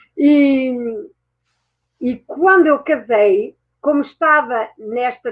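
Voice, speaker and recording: A woman speaks at a high pitch in a European Portuguese accent. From France and Portugal. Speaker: mindset mentor and therapist. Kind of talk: interview. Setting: online talk show.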